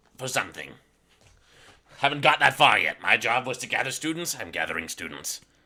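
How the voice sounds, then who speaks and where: Using a put-on character voice, a man talks at a fairly quick pace broken by long, frequent pauses. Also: medium pitch for a man. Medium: actual play. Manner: curt, matter-of-fact.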